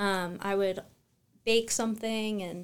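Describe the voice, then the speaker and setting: A woman with an American accent, medium-pitched, very slow and fairly even in intonation, on a very clean recording with a silent background. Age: 20s. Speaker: farmer. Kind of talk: casual interview. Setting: office studio.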